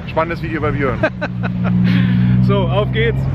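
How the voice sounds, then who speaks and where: A man talks at a moderate pace, the sound dry with no echo but with loud background noise. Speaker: car vlogger. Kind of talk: casual vlog chat. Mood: cheerful, joking. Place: street. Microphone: phone near.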